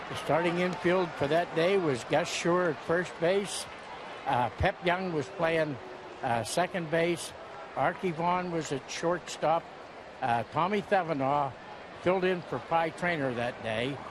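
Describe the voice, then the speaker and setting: Speaking at a fairly slow pace with an American accent, the voice shows ordinary pitch variation over noticeable background noise. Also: man, high pitch for a man. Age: 80s+. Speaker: war veteran. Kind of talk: interview. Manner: halting.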